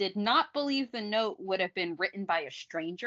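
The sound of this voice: An unforced reading voice is heard. Its intonation is lively.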